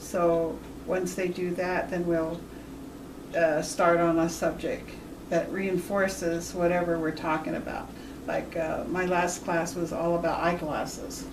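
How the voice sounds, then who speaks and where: A woman speaks at a fairly slow pace in a fairly low pitch with monotone, flat intonation. Audible room echo and noticeable background noise surround her. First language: Washoe. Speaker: Native language teacher. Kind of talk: interview.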